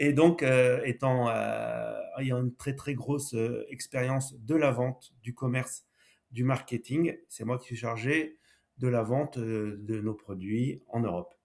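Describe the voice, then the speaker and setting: A man's medium-pitched voice, very slow in pace, with fairly even intonation. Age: 60s. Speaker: entrepreneur, former car dealer. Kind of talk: podcast interview.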